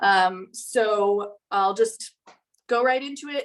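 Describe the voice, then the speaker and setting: It is a normal speaking voice with fairly even intonation. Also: woman. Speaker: artist teaching painting. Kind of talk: tutorial.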